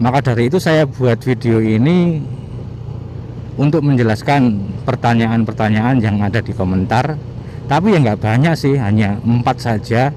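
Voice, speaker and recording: A man's medium-pitched voice at a moderate pace, with ordinary pitch variation and very even loudness, over noticeable background noise. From East Java, Mojokerto. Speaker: motovlogger. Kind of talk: casual vlog monologue answering viewer questions.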